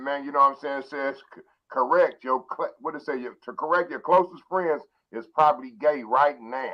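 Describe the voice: The speech moves at a moderate pace with ordinary pitch variation. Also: man, medium pitch for a man.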